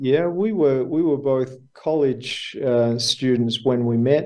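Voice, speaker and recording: A man with an Australian accent speaks at a fairly slow pace. His medium pitch shows ordinary variation. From Australia, Melbourne. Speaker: businessman, former school teacher. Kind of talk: interview.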